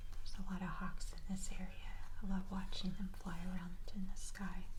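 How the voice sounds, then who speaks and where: Moderate pace and a relaxed tone, with noticeable background noise behind the voice. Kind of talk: ASMR soft spoken narration; casual talk to camera. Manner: soft-spoken, relaxed.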